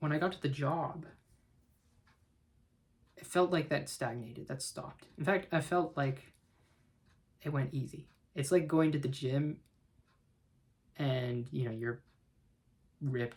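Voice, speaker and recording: The man's voice is fairly high and somewhat breathy. He leaves long, frequent pauses. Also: ordinary pitch variation, moderate pace. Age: 20s. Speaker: chemical engineer. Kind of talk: casual talk to camera.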